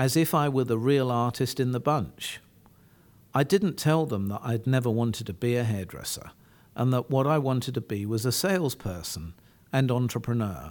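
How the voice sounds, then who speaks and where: Speaking at a moderate pace and medium pitch with lively intonation, a man is heard on a very clean recording with a silent background. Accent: English. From England. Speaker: entrepreneur and author. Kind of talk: interview chat and reading from his memoir. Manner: halting with fillers.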